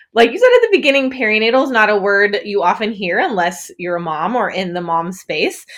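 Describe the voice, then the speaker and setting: A woman with an Upper Midwest accent speaks at a fairly high pitch in a bright, sharp tone. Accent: Upper Midwest American. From northern Wisconsin. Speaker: perinatal fitness coach. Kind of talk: interview.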